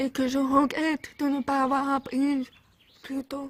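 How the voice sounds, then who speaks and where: Delivery is very slow, with monotone, flat intonation. The sound is dry and close, with no echo. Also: woman. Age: 20s. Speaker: physiotherapist; deaf cochlear implant user. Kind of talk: talk to camera about personal experience.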